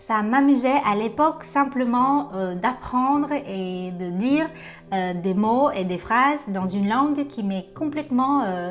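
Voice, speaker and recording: At a very slow pace, a woman with a Vietnamese accent speaks at a fairly high pitch with lively intonation. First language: Vietnamese (speaking French). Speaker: translator-interpreter. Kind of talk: self-presentation video. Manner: hesitant with frequent fillers.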